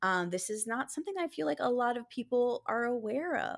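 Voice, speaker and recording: In a very clean recording with a silent background, a woman with an ordinary speaking voice talks at a moderate pace with lively intonation. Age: 40s. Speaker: dating coach. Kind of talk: interview.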